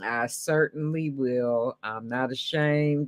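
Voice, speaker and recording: A woman talks at a very slow pace with ordinary pitch variation, recorded with a dry, close sound that has no echo. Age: 60s. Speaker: beauty YouTuber. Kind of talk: casual live-stream interview.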